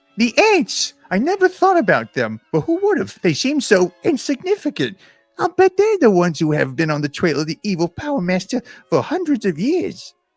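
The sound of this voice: This is a put-on character voice pitched fairly high. It moves at a moderate pace.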